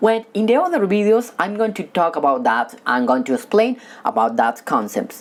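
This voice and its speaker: Speaking with a non-native accent at a moderate pace, a woman uses a medium pitch with very wide pitch swings. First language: not English. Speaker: stuttering coach. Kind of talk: tutorial. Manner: halting.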